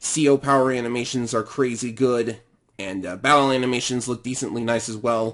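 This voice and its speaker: The speaker is a man with a medium-pitched voice. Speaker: gaming youtuber. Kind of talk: casual video commentary. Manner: hesitant, with fillers.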